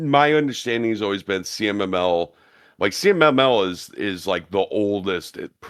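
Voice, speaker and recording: The recording is very clean, with a silent background. A man with a plain, everyday voice speaks at a moderate pace, fairly low in pitch with ordinary pitch variation. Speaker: podcaster. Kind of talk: casual podcast chat.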